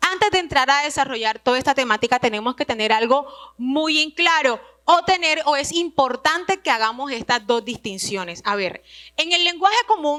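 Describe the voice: At a moderate pace with few pauses, a woman talks in a high pitch with a bright, sharp tone and lively intonation.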